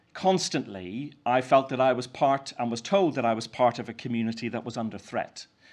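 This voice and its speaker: With a Northern Irish accent, a man speaks at a fairly quick pace with lively intonation against a quiet background. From Northern Ireland, County Down. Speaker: Methodist minister. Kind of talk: keynote speech. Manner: halting, many fillers.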